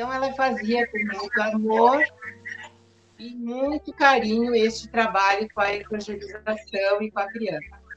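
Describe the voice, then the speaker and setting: A woman with a plain, everyday voice speaks at a fairly slow pace in a fairly high pitch. Her intonation is fairly even, though her loudness swings a lot. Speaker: spiritist center volunteer. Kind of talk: interview.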